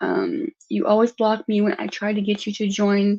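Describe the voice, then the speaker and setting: A woman speaks with a dark, mellow tone at medium pitch. Her voice is somewhat breathy, and her pace fairly slow. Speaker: live streamer. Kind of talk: casual livestream chat. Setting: live stream with online panel.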